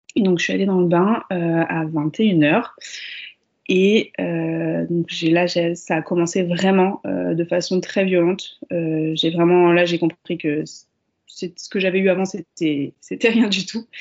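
Her voice is fairly low in pitch for a woman, moving at a very slow pace with fairly even intonation. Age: 30s. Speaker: mother sharing birth stories. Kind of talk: casual interview, personal testimony. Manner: hesitant, many fillers and repetitions.

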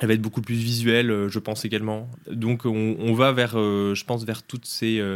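The background is silent and the recording very clean. In it, a man speaks at a medium pitch with fairly even intonation. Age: 20s. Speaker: startup co-founder and CEO. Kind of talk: interview. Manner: halting, many repetitions and fillers.

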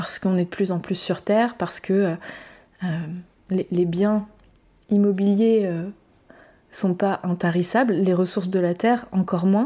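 With a dark, mellow tone at medium pitch, a woman speaks at a fairly slow pace and leaves long, frequent pauses. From Brittany, France. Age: 30s. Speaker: perinatal support practitioner and podcast host. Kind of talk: solo reflective monologue. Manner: hesitant, with fillers and repetitions.

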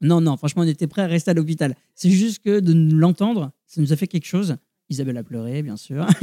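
Fairly high in pitch, a man speaks with a dark, mellow tone and ordinary pitch variation at a fairly quick pace. The sound is dry and close, with no echo. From Brittany, France. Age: 30s. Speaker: new father. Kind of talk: interview. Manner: hesitant.

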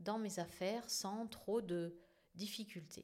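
This woman has a medium pitch. She speaks at a very slow pace. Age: 50s. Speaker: podcast host and therapist. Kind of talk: solo podcast monologue.

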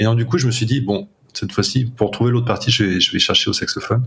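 A man talks in a medium pitch with a somewhat breathy voice. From north-eastern France, Champagne-Ardenne. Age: 30s. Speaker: jazz saxophonist. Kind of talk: interview. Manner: hesitant, many fillers.

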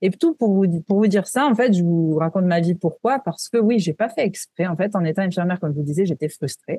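Somewhat breathy and dark, mellow in tone, a woman at medium pitch talks at a fairly quick pace with lively intonation and hardly any pauses, the sound dry and close with no echo. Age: 30s. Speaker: wellness entrepreneur, former nurse. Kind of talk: interview.

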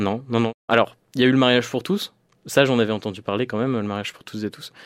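Fairly quick and fairly even in intonation, a man speaks. The recording is very clean, the background silent. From rural northern France (Picardy/Normandy). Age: 20s. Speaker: LGBT activist. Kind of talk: interview testimony. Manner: halting, many hesitations.

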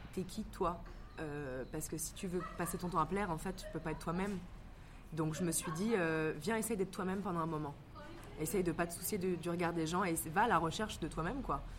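A woman speaks with a fairly low pitch. Audible room echo is on the recording. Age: 20s. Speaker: actress and stage director. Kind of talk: casual interview. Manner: hesitant with many fillers.

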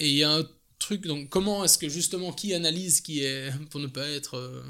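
Bright, sharp tone with a Belgian accent, moderate pace and ordinary pitch variation, on a very clean recording with a silent background. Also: man. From Belgium. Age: 30s. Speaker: coffee importer. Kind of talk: casual interview. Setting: at home.

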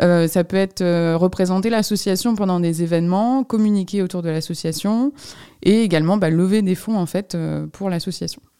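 A woman speaks at a medium pitch with ordinary pitch variation and a moderate pace. The recording is very clean, with a silent background. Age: 20s. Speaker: nonprofit director. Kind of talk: interview. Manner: hesitant, many fillers.

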